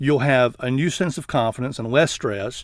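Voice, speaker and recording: This man has an Alabama accent. He talks at a fairly quick pace. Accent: Southern US (Alabama). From Southeast Alabama, US South. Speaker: network marketing trainer. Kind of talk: webinar sales pitch. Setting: online webinar.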